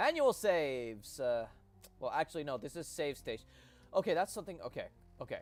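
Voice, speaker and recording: A man at a fairly quick pace, broken by long, frequent pauses, with music in the background. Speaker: gaming streamer. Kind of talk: casual chat.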